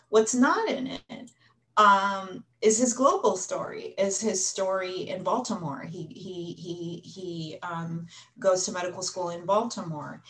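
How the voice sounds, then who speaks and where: Using a normal speaking voice, a woman talks fairly slowly at medium pitch with ordinary pitch variation and big swings in loudness. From United States. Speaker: history professor. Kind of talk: panel discussion.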